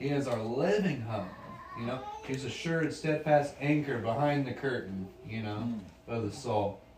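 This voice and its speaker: There is noticeable background noise as a man with a medium pitch speaks at a moderate pace with ordinary pitch variation. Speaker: bible study participant. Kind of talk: group discussion. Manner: casual.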